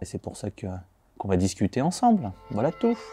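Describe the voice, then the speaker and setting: Over a quiet background, a man speaks at a moderate pace in a dark, mellow tone, with a dry, close sound and no echo. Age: 20s. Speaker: football fan and sports columnist. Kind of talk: interview answers. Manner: casual, hesitant with many fillers.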